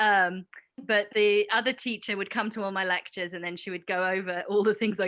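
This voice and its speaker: With a British accent, a woman speaks at a medium pitch and fairly quick pace in an enthusiastic, bright, sharp tone against a quiet background. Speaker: professor. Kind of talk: panel discussion.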